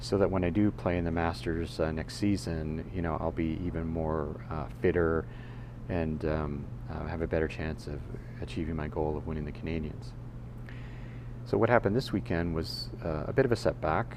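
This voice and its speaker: Delivered at a moderate pace, the lively intonation rises and falls against audible room echo. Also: man, very deep, low pitch for a man. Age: 60s. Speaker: podcaster. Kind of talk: casual monologue. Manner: halting, many fillers and restarts.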